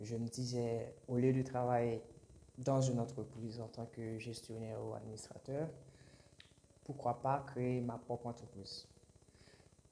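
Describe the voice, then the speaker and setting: Speaking at a fairly slow pace with long, frequent pauses, a man with a medium-pitched, somewhat breathy voice of dark, mellow tone talks in a flat monotone, his loudness swinging widely. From Haiti. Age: 20s. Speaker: aspiring entrepreneur and YouTuber. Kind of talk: channel introduction monologue. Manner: halting, many hesitations and repetitions.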